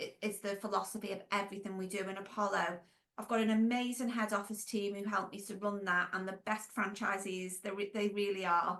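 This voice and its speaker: Fairly quick and monotone, a woman with a Merseyside accent speaks at a medium pitch. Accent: Merseyside (Scouse). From Wirral, Merseyside, England. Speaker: former nurse, franchise business owner and consultant. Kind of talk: podcast interview. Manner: casual, conversational with fillers.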